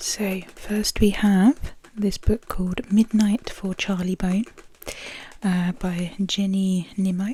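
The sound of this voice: A woman speaks slowly at a medium pitch, her dark, mellow tone holding little pitch movement.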